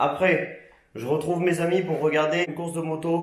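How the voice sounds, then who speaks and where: A man's fairly high voice comes through with audible room echo and noticeable background noise. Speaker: motorcycle vlogger and parts seller. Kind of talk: casual vlog.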